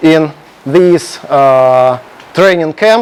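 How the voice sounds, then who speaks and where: Over noticeable background noise, a man talks at a very slow pace with a Russian accent. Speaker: programming contest coach and lecturer. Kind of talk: lecture. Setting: classroom with projector, streamed. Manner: halting, many filler sounds.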